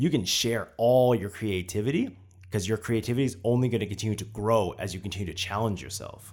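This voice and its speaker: This is a man with an ordinary speaking voice. His delivery runs at a fairly quick pace. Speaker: podcast host. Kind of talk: casual interview chat.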